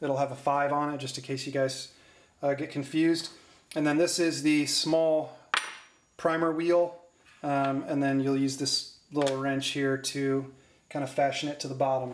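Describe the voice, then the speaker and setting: Spoken at a moderate pace, the clip has audible room echo and light background noise. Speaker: hobbyist demonstrator. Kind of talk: tutorial. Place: workshop.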